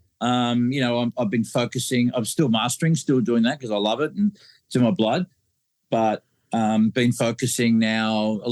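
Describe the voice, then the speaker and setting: Someone speaks at a moderate pace with an Australian accent, in a dry, close sound with no echo. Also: man. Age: 60s. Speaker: mastering engineer. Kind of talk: casual interview. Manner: halting, many fillers.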